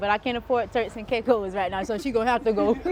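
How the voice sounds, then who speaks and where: An animated woman's voice over background music. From South Florida (Broward County). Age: 20s. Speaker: entrepreneur, interviewee. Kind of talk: casual interview.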